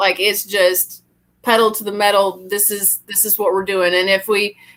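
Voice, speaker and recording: A woman with a slight Southern US accent speaks at a moderate pace. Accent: light Southern US. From Alabama, Birmingham area. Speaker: realtor. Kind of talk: casual chat. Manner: halting.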